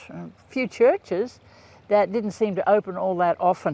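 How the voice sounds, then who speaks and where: Lively intonation from a man with a high pitch, at a fairly slow pace, in a dry, close sound with no echo. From rural Queensland, Australia. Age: 70s. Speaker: podcaster. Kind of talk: casual monologue. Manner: halting, many fillers.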